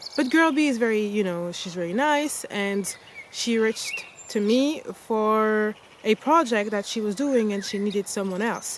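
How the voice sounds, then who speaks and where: A woman speaks at a moderate pace with a fairly high pitch and ordinary pitch variation. Noticeable background noise runs under her voice. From France. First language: French. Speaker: travel vlogger. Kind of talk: casual storytelling vlog. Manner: casual, many fillers and restarts.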